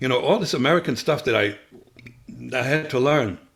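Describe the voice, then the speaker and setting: A man's medium-pitched voice with a German accent and ordinary pitch variation. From Germany. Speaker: former spy. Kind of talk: interview. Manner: halting, many fillers.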